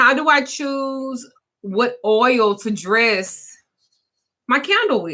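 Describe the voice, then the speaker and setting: This woman's fairly high voice has a bright, sharp tone and lively intonation, delivered at a very slow pace. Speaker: spiritual practitioner. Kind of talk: livestream Q&A. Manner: casual.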